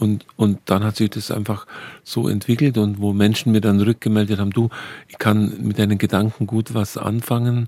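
In a dry, close sound with no echo, a man with a dark, mellow tone talks at a moderate pace in monotone, flat intonation. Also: fairly low pitch for a man. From Bavarian Swabia. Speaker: archabbot and pastor. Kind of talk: radio conversation.

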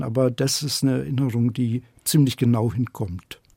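At a moderate pace, a man speaks at a medium pitch in a dark, mellow tone with ordinary pitch variation. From Upper Bavaria, Germany (Schongau). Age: 60s. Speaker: novelist. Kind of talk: interview.

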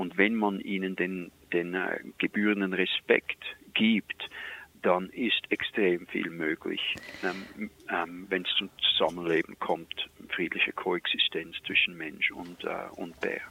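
A man with a Swiss accent, at a very slow pace. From Switzerland. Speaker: wildlife expert. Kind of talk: storytelling.

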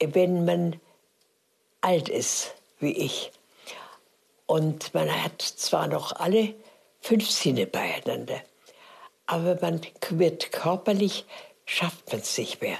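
A woman's very slow speech with long, frequent pauses. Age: 90s. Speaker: elderly interviewee. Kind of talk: interview.

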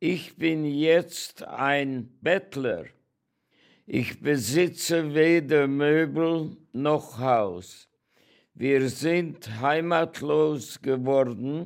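A man's fairly high voice at a very slow pace, with ordinary pitch variation, very even loudness, and a very clean recording with a silent background. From Hungary, Großwardein (Oradea). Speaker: Holocaust survivor and contemporary witness. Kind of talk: personal introduction and reading aloud.

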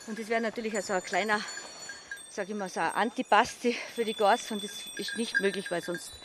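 A woman speaks at a fairly quick pace and a fairly high pitch. Noticeable background noise runs underneath. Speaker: alpine goat farmer. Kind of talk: casual explanation. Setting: outdoors on an alpine pasture.

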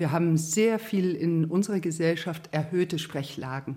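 Her tone is dark and mellow. The woman talks at a moderate pace with fairly even intonation. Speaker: voice therapist. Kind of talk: interview.

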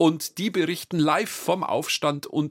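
This is a man with an unremarkable speaking voice. His pitch is fairly high and his pace is moderate. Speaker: podcast host. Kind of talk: podcast narration, explanatory history chat.

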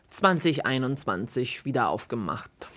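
The recording is very clean, with a silent background. A woman speaks at a very deep, low pitch. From Italy (Perugia). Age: 40s. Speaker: cinema manager. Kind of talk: interview narration.

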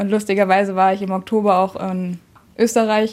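With a flat, monotone delivery, this woman talks at a medium pitch. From northern Hesse, Kassel region. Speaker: campsite worker. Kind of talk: casual interview.

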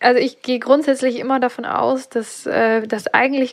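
The speaker is a woman talking at a moderate pace. Her intonation is fairly even. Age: 30s. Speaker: freelance graphic designer. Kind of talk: coaching session. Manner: halting, many fillers.

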